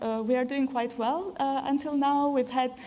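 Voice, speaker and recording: Fairly even in intonation, a woman speaks in a high voice. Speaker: university panelist. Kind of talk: panel presentation.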